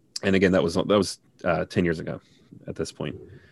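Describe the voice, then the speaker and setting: The delivery has a monotone, flat intonation on a very clean recording with a silent background. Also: man. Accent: Midwestern American. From Cincinnati, Ohio. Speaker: linguist. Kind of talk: casual interview.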